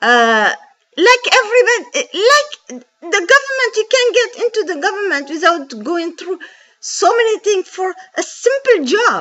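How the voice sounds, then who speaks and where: Her pitch is extremely high, with very wide swings. The woman speaks at a fairly slow pace. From Djibouti. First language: French. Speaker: bank call centre agent. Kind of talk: personal testimony. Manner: halting with fillers; impassioned.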